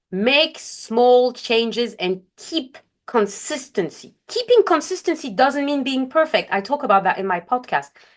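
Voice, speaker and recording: A woman speaks in a high voice with a non-native accent. Her pitch swings very widely. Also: fairly slow pace, hardly any pauses. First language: not English. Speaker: life coach. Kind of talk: webinar presentation. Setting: online webinar. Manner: occasional self-corrections and fillers.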